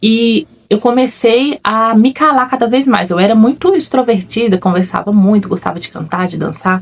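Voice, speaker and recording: Her medium-pitched, somewhat breathy voice moves at a moderate pace with lively intonation as the woman speaks. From Brazil, another state than where she lives. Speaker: faith-based personal development vlogger. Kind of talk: personal testimony. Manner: reflective, conversational.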